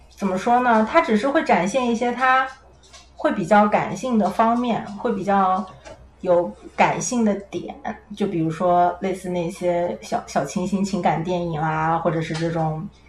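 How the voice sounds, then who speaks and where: A woman talks at a fairly slow pace with lively intonation. Noticeable background noise runs underneath. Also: medium pitch for a woman. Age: 20s. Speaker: podcast guest. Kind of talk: casual chat.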